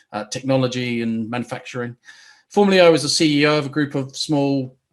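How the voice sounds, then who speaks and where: A man with a New Zealand accent at a medium pitch, with ordinary pitch variation and a very fast pace. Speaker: business coach. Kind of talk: webinar presentation. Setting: online webinar. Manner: hesitant with fillers.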